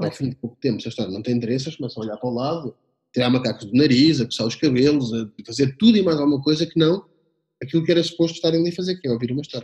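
The voice moves at a very fast pace with lively intonation. It is somewhat breathy. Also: man. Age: 30s. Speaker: communication consultant and storyteller. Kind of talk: interview conversation. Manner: hesitant with many repetitions.

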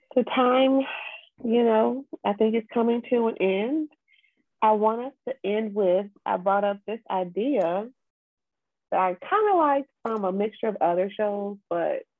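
Soft-spoken and fairly high-pitched, a woman talks at a fairly slow pace with long, frequent pauses and ordinary pitch variation. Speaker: podcast co-host. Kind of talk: casual chat. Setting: home recording with headset.

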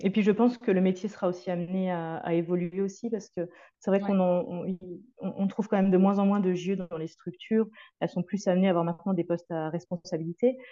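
A woman with a dark, mellow tone and medium pitch talks at a very fast pace with fairly even intonation. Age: 30s. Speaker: early childhood educator. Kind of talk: interview.

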